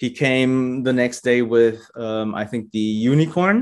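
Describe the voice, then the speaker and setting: An unremarkable speaking voice talks at a fairly slow pace. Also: man. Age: 40s. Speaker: Lego photographer. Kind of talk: interview.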